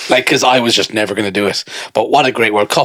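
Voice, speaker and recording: A man's bright, sharp voice at a medium pitch, with an Irish accent. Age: 30s. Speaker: podcast co-host. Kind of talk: casual chat. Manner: animated.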